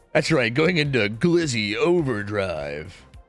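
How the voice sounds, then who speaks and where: Excited and with very wide pitch swings, a medium-pitched man speaks with an American accent as music plays in the background. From Pennsylvania. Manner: casual, excited, dude-like.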